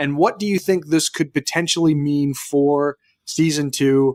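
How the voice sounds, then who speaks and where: Recorded very cleanly against a silent background, a man with a fairly high voice speaks at a moderate pace in a dry, close sound with no echo. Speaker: podcast co-host. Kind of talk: casual chat. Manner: animated.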